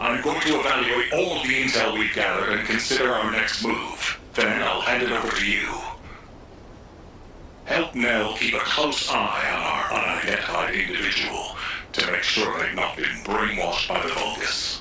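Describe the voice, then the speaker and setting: Over loud background noise, a man does a put-on character voice at medium pitch and a moderate pace. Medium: video game.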